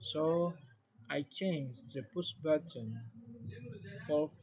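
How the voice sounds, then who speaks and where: With an Indonesian accent, a man speaks at a very slow pace with ordinary pitch variation. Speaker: student explaining a project. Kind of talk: tutorial. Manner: halting.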